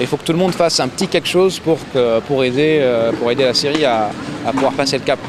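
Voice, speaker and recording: A man at a very fast pace and fairly high pitch, with ordinary pitch variation, very even loudness, and noticeable background noise. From Syria, Damascus. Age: 30s. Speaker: Syrian activist. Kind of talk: interview testimony.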